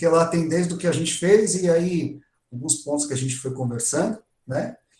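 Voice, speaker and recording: Fairly high-pitched male voice, an unremarkable speaking voice, with ordinary pitch variation and a moderate pace. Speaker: music education professor. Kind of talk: online workshop lecture. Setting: online live stream.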